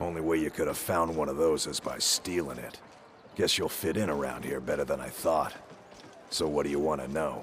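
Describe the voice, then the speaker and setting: A man uses a put-on character voice, raspy and very deep and low. He talks at a fairly quick pace against clear background noise. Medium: video game. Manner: gruff, blunt, streetwise.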